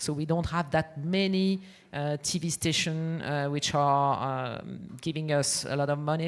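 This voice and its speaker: On a very clean recording with a silent background, a woman with a French accent speaks at a fairly slow pace in a very deep, low pitch and monotone, flat intonation. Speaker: music publisher. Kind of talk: conference panel talk. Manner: halting, many fillers and restarts.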